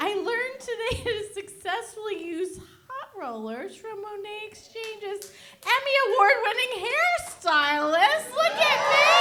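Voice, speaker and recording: Over audible room echo, a woman with an American accent projects a raised voice at an extremely high pitch, her intonation lively, her loudness swinging widely and her pace fairly slow. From New Jersey, US. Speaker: stand-up comedian. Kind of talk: stand-up. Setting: stage with audience. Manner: animated.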